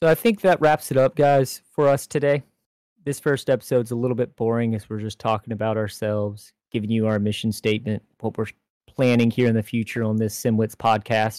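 A man with an American accent talks at a fairly quick pace in a normal speaking voice, medium in pitch. His intonation stays fairly even, and the sound is dry and close with no echo. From Florida, Jacksonville. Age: 20s. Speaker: sim racing podcast co-host. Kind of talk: casual chat.

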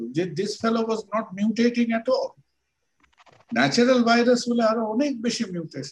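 A man with an extremely high pitch and ordinary pitch variation. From Kolkata, India. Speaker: doctor. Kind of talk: interview.

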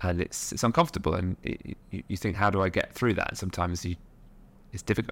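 In a very clean recording with a silent background, a man with a very deep, low pitch talks at a very fast pace with fairly even intonation. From Nottingham, England. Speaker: social enterprise founder and board member. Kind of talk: interview conversation.

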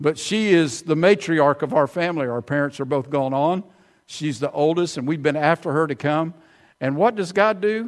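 Talking at a moderate pace with a fairly high pitch, a man speaks with an Alabama accent in a very clean recording with a silent background. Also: ordinary pitch variation. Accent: Southern US (Alabama). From US South, Alabama (Prattville). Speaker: visiting preacher. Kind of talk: sermon.

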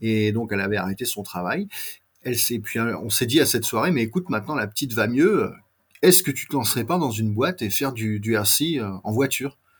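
Delivered at a very fast pace, the somewhat breathy voice has lively intonation over a very clean recording with a silent background. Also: man. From France. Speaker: scale model company owner. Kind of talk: interview.

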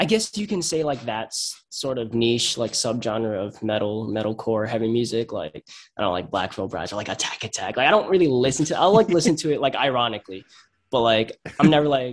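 Intonation rises and falls in a lively way as the words come at a fairly quick clip. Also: man, medium pitch for a man. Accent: Long Island. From Long Island, New York. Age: 20s. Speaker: hardcore band singer and guitarist. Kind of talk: casual interview.

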